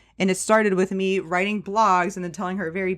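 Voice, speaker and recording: Very clean recording, silent background. A woman speaks at medium pitch in a normal speaking voice. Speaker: personal finance podcaster and real estate investor. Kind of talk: casual interview chat.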